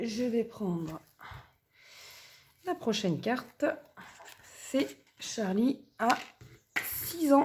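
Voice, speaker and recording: A woman speaks at a very slow pace with a fairly high pitch. Her pitch swings very widely, broken by long, frequent pauses. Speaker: budgeting vlogger, mother. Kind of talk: casual budgeting vlog. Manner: chatty, many fillers.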